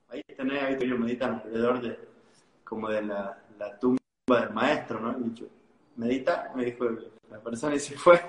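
A man with an Argentine accent speaks at medium pitch and a moderate pace, with fairly even intonation, long, frequent pauses and big swings in loudness. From Argentina, Tucumán. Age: 20s. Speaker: life coach. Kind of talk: interview.

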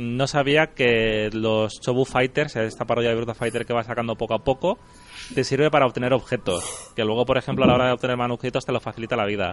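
A man speaks at a very fast pace. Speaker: podcast host. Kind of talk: casual chat.

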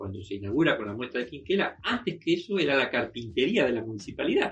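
A somewhat breathy man's voice at medium pitch, with very wide pitch swings. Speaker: artist and retired museum worker. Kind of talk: interview. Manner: halting.

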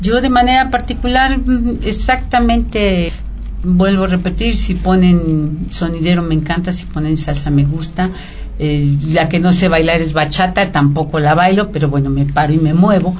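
There is noticeable background noise and audible room echo as a woman with a fairly low pitch speaks at a moderate pace with lively intonation. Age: 50s. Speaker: radio guest, office worker. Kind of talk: radio interview. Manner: halting, many fillers.

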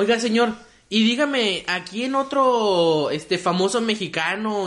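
The speaker talks at a fairly slow pace in an animated tone, with lively intonation. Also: man. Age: 20s. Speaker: comedy podcast host. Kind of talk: casual chat.

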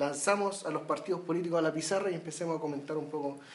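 Over noticeable background noise, a man with a Chilean accent speaks at a very fast pace with ordinary pitch variation. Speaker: podcast host. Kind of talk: casual political discussion.

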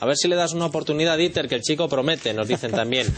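Over noticeable background noise, a man talks at a very fast pace with fairly high pitch and ordinary pitch variation. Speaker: talk show host. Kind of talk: panel discussion.

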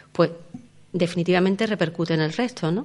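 This woman's voice sits fairly low. It is an ordinary speaking voice with fairly even intonation. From Andalusia, Los Barrios. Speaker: seniors' centre director. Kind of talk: radio interview.

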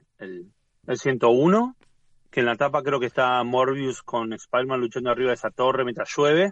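Recorded dry and close with no echo, a man speaks at medium pitch. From Argentina. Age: 40s. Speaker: comics YouTuber. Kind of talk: casual interview chat. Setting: video call.

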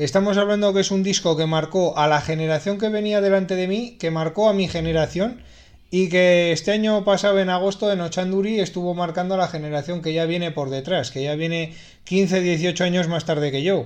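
Fairly even intonation carries speech delivered at a fairly quick pace. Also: man, high pitch for a man. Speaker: radio host. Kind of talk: radio music show presentation.

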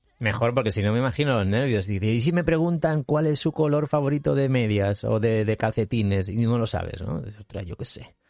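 A medium-pitched male voice with lively intonation, at a fairly quick pace with hardly any pauses, against a quiet background. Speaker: podcast host. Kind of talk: interview. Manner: halting, many repetitions.

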